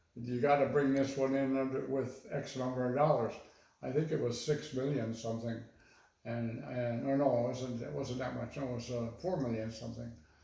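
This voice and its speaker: There is noticeable background noise behind this man speaking at a medium pitch. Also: moderate pace. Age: 80s+. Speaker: retired architect. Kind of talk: interview answer.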